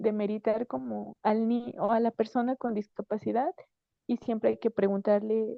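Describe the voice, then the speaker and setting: Her pitch is fairly high, in an ordinary speaking voice. The woman speaks at a fairly slow pace. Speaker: psychologist and physiotherapist speaker. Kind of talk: conference talk.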